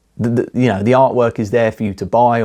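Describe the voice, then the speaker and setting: A man with an English accent and a dark, mellow tone, speaking at a fairly quick pace on a very clean recording with a silent background. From England. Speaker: artist and vlogger. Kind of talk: casual monologue vlog. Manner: halting, repeats words.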